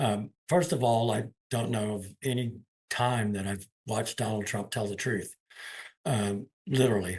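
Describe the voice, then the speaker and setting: A man with a medium-pitched, somewhat breathy voice speaks at a fairly slow pace with ordinary pitch variation. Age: 60s. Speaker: union leader. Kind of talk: interview. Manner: halting, repeats words.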